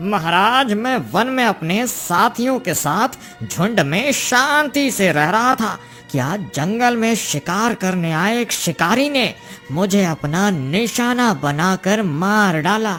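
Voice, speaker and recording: Clear music plays in the background as a cartoonish character voice with a fairly high pitch speaks at a fairly slow pace. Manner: respectful, addresses judge as lord.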